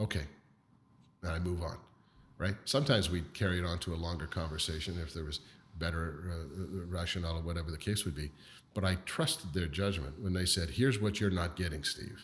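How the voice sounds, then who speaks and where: With a Canadian accent, a man speaks at a fairly quick pace in a very deep, low voice. His delivery is somewhat breathy, with ordinary pitch variation. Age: 60s. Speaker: business leader. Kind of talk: interview.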